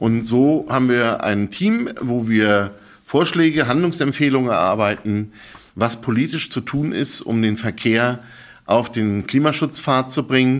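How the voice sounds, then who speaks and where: This man has an unremarkable speaking voice, medium in pitch with ordinary pitch variation, and he talks at a fairly slow pace. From Berlin, Germany. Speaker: think tank director. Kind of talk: interview conversation. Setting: studio.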